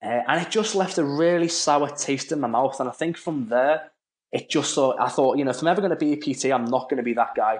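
A man talks at a fairly quick pace in a plain, everyday voice. The background is quiet. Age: 20s. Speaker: personal trainer. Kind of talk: casual interview.

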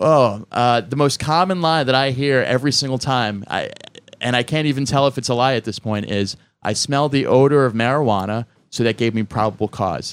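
In a very clean recording with a silent background, a man with a plain, everyday voice talks fairly quickly at a medium pitch with ordinary pitch variation. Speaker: comedian. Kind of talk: casual panel chat.

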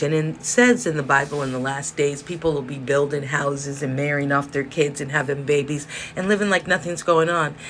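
A woman with an American accent speaks at a moderate pace with hardly any pauses, her pitch very deep and low with ordinary variation. Noticeable background noise runs underneath. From South Central Los Angeles. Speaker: podcast host. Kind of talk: monologue rant, casual. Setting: indoors with space heater whirring.

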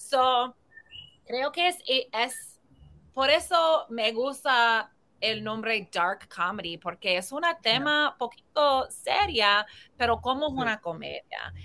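A woman speaks at a very slow pace in a high pitch, her bright, sharp tone carried by lively intonation on a very clean recording with a silent background. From US Northeast (New Jersey). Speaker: comedian and filmmaker. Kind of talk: interview.

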